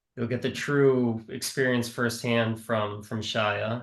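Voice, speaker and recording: In a Midwestern American accent, a man speaks at medium pitch with monotone, flat intonation. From US Midwest, Milwaukee, Wisconsin. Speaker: nonprofit worker for youth surf program. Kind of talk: panel discussion on video call. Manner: hesitant with many fillers.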